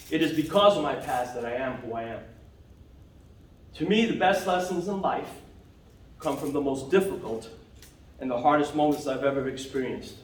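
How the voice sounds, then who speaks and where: In a room with audible echo, a man with an American accent and fairly high pitch talks at a fairly quick pace with lively intonation and long, frequent pauses. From New York (Bronx, Long Island). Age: 60s. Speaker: toastmasters club member. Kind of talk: prepared speech. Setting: club meeting.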